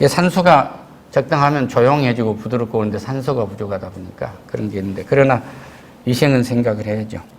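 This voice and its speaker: The speech moves at a very fast pace with ordinary pitch variation. Audible room echo is present. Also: man, medium pitch for a man. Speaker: pastor. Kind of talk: sermon. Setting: church. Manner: louder than usual due to mask. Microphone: wearing a mask, muffled pronunciation.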